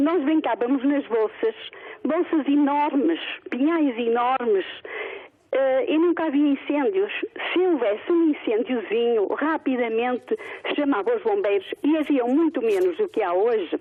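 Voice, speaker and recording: Noticeable background noise sits behind a woman speaking at a fairly slow pace with a high pitch. Her pitch swings are very wide, yet her loudness stays very even. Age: 60s. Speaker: retired caller. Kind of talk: phone-in opinion. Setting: phone call.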